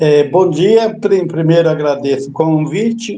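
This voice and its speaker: A man's fairly high, dark and mellow voice at a fairly slow pace. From São Paulo east zone, Brazil. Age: 70s. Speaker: tree planter, retired executive. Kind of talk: interview.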